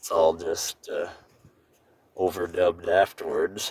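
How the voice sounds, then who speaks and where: A man talks in a fairly low pitch. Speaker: travel vlogger. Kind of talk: voice-over narration. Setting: recorded after driving, overdubbed. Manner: monotone.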